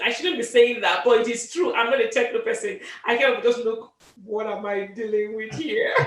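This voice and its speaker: A woman with a high pitch speaks at a moderate pace. Her intonation is lively, and the room adds audible echo. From Africa. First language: not English, an African language. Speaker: author and medical doctor. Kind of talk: interview. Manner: hesitant, with many fillers and repeats.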